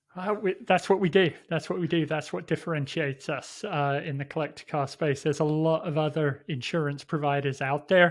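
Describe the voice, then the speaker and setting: Against a quiet background, a man with an English accent talks at a fairly quick pace with a fairly high pitch and hardly any pauses. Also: ordinary pitch variation. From England. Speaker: sales executive. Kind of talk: interview.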